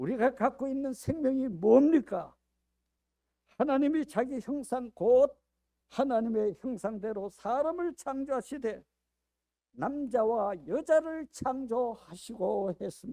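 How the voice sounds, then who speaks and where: A man's very slow, dark, mellow voice at an extremely high pitch, with ordinary pitch variation and a dry, close sound with no echo. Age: 80s+. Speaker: pastor. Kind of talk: sermon.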